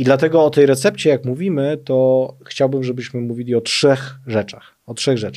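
Fairly quick speech with ordinary pitch variation over a quiet background. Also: man. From Poland. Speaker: social policy expert, former deputy minister; former deputy minister. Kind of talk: interview. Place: studio. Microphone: studio mic.

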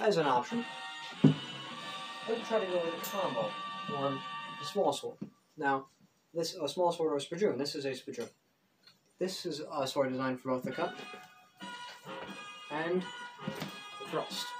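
With clear music in the background, a man talks at a moderate pace in a high pitch for a man, using lively intonation and long, frequent pauses. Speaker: mock infomercial host. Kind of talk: joke infomercial-style demonstration talk to camera. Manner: casual, halting. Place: home room. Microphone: camera far.

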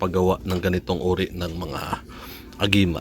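Noticeable background noise surrounds a man's voice. He speaks at a moderate pace with a very deep, low pitch. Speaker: amulet maker and vlogger. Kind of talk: tutorial. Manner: casual.

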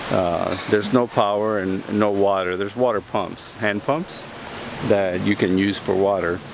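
The delivery comes at a fairly slow pace with fairly even intonation. The sound is dry with no echo, though noticeable background noise is present. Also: man, fairly low pitch for a man. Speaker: travel vlogger. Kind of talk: casual vlog chat. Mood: relaxed, cheerful. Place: forest. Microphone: phone near.

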